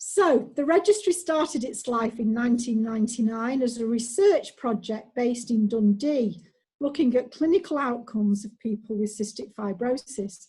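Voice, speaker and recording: In a Mancunian accent, a woman speaks with a high pitch and a dark, mellow tone. Her intonation is lively, her pace moderate, with hardly any pauses. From Manchester, England. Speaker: clinical data manager, former nurse. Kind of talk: online presentation.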